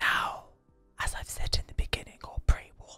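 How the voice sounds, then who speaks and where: A man whispers as faint music plays in the background. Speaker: gaming content creator / video host. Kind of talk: whispered ASMR game-building commentary. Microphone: studio mic.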